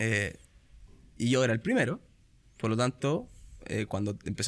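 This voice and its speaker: In a very clean recording with a silent background, a man with a bright, sharp tone speaks fairly quickly at a medium pitch with ordinary pitch variation. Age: 30s. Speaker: fund company sales manager. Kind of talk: casual interview.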